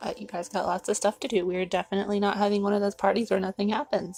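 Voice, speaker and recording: Her voice is fairly high and somewhat breathy. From US South. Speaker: author reading own book. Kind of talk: casual live stream chat. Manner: fast.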